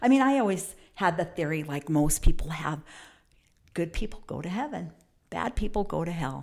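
On a very clean recording with a silent background, a woman with a fairly low pitch and vocal fry speaks at a moderate pace with lively intonation, big swings in loudness and long, frequent pauses. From New Mexico, US (Farmington). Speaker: pastor's wife. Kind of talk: testimony.

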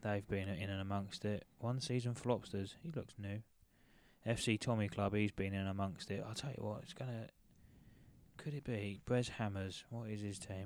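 With an animated tone, a man speaks at a moderate pace in a fairly low pitch. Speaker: football podcast host. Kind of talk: casual banter. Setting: watching match at home, recording. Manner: animated, joking.

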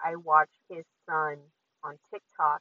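A woman speaks at a very slow pace in a very deep, low pitch. Her tone is bright and sharp, with a dry, close sound and no echo. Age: 30s. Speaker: podcast host. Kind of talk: casual monologue. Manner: casual, with filler words.

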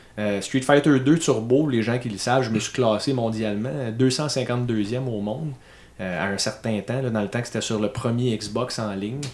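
Speaking in a Quebec accent, a man of medium pitch takes a fairly slow pace with ordinary pitch variation. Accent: Québécois French. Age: 30s. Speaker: podcast host. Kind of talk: casual chat.

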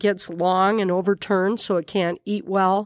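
The speech moves at a fairly slow pace. The sound is dry and close with no echo, against a quiet background. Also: woman. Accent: Upper Midwest. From South Dakota, Miller. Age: 50s. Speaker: nun, prioress of a monastery. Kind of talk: interview conversation. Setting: studio in a bar.

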